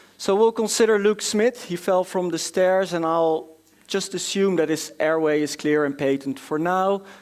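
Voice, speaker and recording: A man with a high-pitched voice and a Dutch accent. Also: ordinary pitch variation, moderate pace. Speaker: doctor presenting at a medical conference. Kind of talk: conference lecture. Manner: hesitant, many filler sounds.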